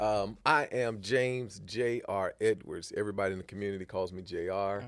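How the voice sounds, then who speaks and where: At a fairly quick pace, a man with a fairly low pitch uses an ordinary speaking voice with ordinary pitch variation. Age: 40s. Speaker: musician and entrepreneur. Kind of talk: casual interview chat.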